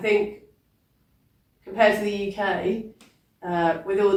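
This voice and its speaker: A woman with a British accent delivers her words in a monotone, flat intonation. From England. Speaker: poet. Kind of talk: interview. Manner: hesitant, many fillers.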